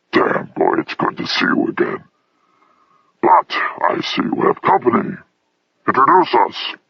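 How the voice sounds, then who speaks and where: Growling and gruff, a man puts on a character voice at an extremely high pitch, keeping a moderate pace with long, frequent pauses. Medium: read story. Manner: gruff, growling.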